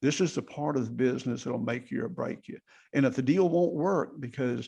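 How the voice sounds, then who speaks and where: A dark, mellow male voice at a medium pitch, with a moderate pace and ordinary pitch variation. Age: 60s. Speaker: general contractor and real estate investor. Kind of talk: podcast interview. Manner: casual conversational.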